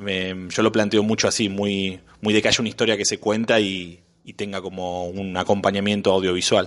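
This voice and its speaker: A Rioplatense accent, monotone and flat in intonation, at a moderate pace. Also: man, fairly low pitch for a man. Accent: Argentine Rioplatense Spanish. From Argentina, Buenos Aires. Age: 30s. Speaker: screenwriter and advertising director. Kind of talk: interview conversation. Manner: hesitant, many fillers.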